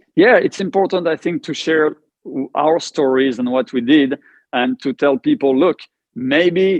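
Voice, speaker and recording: A man with a French accent and a fairly high pitch speaks at a moderate pace with ordinary pitch variation. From France. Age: 50s. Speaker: cancer survivor. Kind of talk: casual interview conversation.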